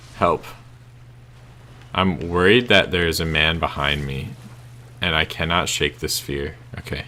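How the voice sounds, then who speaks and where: A man speaks at a fairly slow pace with long, frequent pauses. His very deep, low pitch shows ordinary variation against noticeable background noise. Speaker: gameplay commentator. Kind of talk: let's play commentary.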